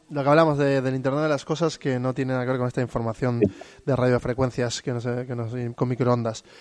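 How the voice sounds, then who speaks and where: A man's medium-pitched voice at a very fast pace, flat and monotone throughout. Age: 30s. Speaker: podcast host. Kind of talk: casual chat.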